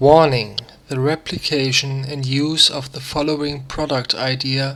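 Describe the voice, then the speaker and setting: Speaking with a non-native accent, a man has a fairly high pitch. His delivery is fairly slow, with monotone, flat intonation. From Germany. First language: German. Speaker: crafter. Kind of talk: DIY tutorial narration read from script.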